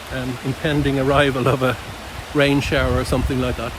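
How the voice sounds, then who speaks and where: Noticeable background noise surrounds a man talking at a fairly quick pace. The recording is dry with no echo. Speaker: nature observation vlogger. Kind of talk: outdoor walking vlog narration. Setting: outdoors in woodland nature reserve. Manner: hesitant, many fillers; speaking quietly. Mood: calm, reflective, appreciative. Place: forest. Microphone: phone near.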